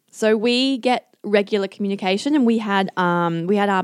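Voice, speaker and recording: In a very clean recording with a silent background, a woman with an Australian accent speaks at a medium pitch with ordinary pitch variation. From Singapore, then Australia. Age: 20s. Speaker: Olympic kayaker. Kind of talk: casual chat.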